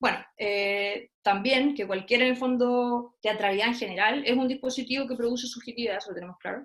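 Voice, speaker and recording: A woman speaks at a high pitch with fairly even intonation. Her pace is fairly quick, with hardly any pauses. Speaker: theatre researcher and lecturer. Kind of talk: online talk. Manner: fast.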